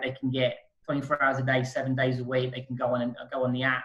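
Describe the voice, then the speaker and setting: With a somewhat breathy quality, a man talks at a medium pitch. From UK. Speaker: currency exchange specialist. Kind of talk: interview.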